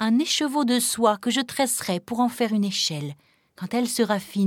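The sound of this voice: The pitch shows ordinary variation as someone reads in an unforced reading voice.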